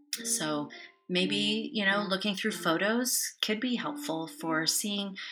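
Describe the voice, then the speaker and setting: A woman in a calm, gentle tone with very wide pitch swings, music in the background. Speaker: therapist, podcast guest.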